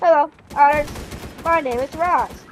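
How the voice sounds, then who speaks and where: A woman does a robotic, put-on character voice at a high pitch. Sound effects play in the background. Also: moderate pace. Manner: polite, greeting.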